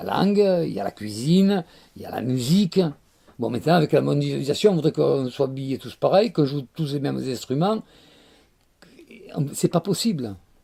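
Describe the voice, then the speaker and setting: Pitched fairly high, a man with a dark, mellow tone talks at a moderate pace, his pitch swinging very widely between long, frequent pauses. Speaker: Provençal storyteller. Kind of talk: interview answer about storytelling and Provence of the past. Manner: warm, nostalgic, expressive.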